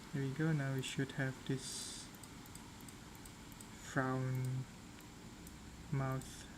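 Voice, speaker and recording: A non-native accent at a very slow pace, with long, frequent pauses. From Southeast Asia. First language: not English. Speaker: 3D modeling streamer. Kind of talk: live stream tutorial. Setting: live stream. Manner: halting.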